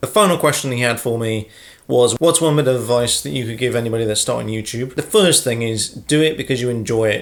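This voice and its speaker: Mumbling at a very fast pace, a man speaks in a medium pitch. His pitch varies in an ordinary way. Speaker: YouTuber. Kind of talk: casual Q&A vlog. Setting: sitting at home with a brew.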